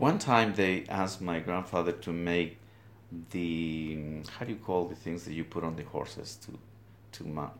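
A man speaks at a fairly slow pace in a very deep, low voice with ordinary pitch variation, long, frequent pauses, and audible room echo. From Guatemala, highlands. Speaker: weaver. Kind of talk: interview. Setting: weaving studio.

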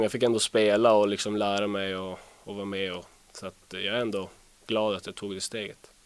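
A man speaks at a fairly low pitch. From northern Sweden, Luleå. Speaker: ice hockey player. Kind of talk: interview.

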